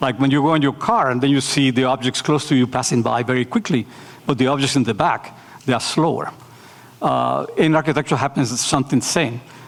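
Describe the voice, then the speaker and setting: Over noticeable background noise, a man with a Spanish accent talks at a fairly quick pace and a medium pitch. His loudness stays very even, with ordinary pitch variation. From Nicaragua. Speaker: architecture professor. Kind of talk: lecture Q&A. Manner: hesitant, many fillers.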